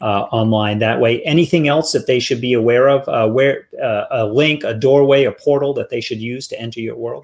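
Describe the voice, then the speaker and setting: With a plain, everyday voice, a man of fairly high pitch speaks at a moderate pace with hardly any pauses. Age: 40s. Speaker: podcast host. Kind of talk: interview.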